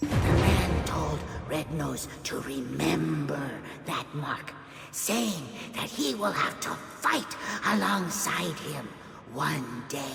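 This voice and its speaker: A put-on character voice sits at a low-to-middle pitch and moves at a very slow pace. There is a slight echo and clear background noise. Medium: machinima. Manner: excitable, exclamatory.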